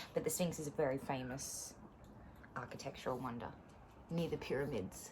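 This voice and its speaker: This woman has a very deep, low pitch and an Australian accent. Her pace is moderate, and her pitch variation is ordinary. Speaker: teacher reading stories to pupils. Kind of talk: reading aloud.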